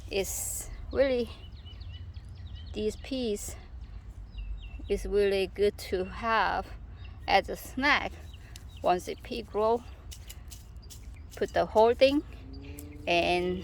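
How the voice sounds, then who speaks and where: A woman with a Korean accent at a very slow pace, with long, frequent pauses. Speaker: gardening vlogger. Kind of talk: casual garden tour vlog. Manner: halting.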